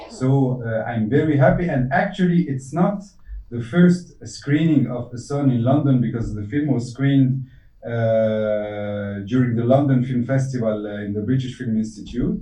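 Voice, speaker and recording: A man with a non-native accent speaks in a dark, mellow, somewhat breathy tone, with audible room echo around him. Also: medium pitch for a man, ordinary pitch variation, moderate pace. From Tunisia. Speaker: film director. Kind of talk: Q&A interview. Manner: halting.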